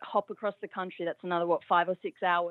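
A woman speaks with an Australian accent. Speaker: caller. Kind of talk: casual chat. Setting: phone call.

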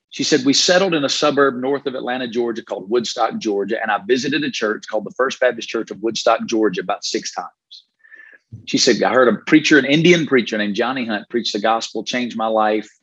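A man with a Southern US accent at a very fast pace, medium pitch and ordinary pitch variation. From Alabama, US South. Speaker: pastor. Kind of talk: interview.

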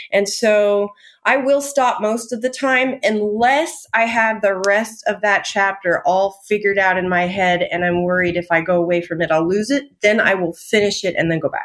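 With hardly any pauses, a woman speaks in a Californian accent at a moderate pace. Her medium-pitched voice shows ordinary pitch variation. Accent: General American (Californian). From Southern California (Tehachapi). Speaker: novelist. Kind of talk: casual interview chat.

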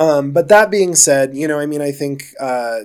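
This man has an American accent and a normal speaking voice. He goes at a fairly quick pace with ordinary pitch variation. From Colorado, Denver. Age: 20s. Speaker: budtender. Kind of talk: casual chat. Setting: studio.

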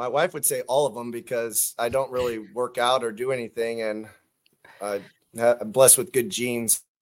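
This speaker has an ordinary speaking voice with an American accent, talking at a moderate pace with fairly even intonation and big swings in loudness. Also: man, medium pitch for a man. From California, Stockton. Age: 40s. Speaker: teacher and pro cornhole player. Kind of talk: interview.

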